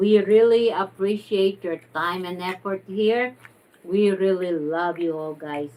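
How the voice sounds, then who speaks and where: This woman's voice sits at a medium pitch with ordinary pitch variation. Her pace is very slow. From Philippines. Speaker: online teacher and co-host. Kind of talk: casual chat, mukbang livestream. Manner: energetic.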